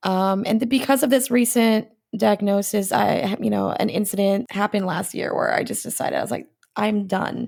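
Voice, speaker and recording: A woman talks at a moderate pace with medium pitch and ordinary pitch variation. It is an ordinary speaking voice. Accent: American. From United States. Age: 40s. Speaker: comedian. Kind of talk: casual chat.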